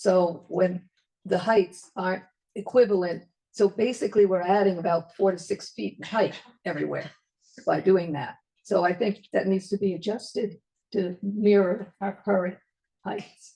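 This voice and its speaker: A woman's somewhat breathy voice with a dark, mellow tone, medium pitch, fairly even intonation and a moderate pace broken by long, frequent pauses. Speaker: resident speaking at public comment. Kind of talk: public comment at a zoning workshop.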